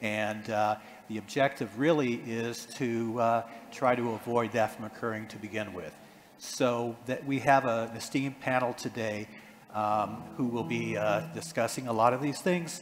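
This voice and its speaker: Someone with an American accent talks at a moderate pace with ordinary pitch variation against noticeable background noise. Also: man, medium pitch for a man. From United States. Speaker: panel moderator. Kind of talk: panel discussion. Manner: halting, many fillers.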